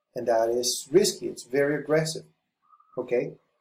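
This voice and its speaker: The man's dark, mellow tone carries along at a moderate pace. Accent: non-native. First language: not English. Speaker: forex trading educator. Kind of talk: tutorial. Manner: halting.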